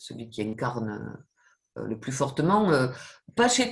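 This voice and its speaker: A woman speaks with a southwestern French accent and vocal fry. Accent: southwestern French, noticeable. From southwest France. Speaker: professor. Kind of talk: interview. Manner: hesitant, many fillers and repetitions.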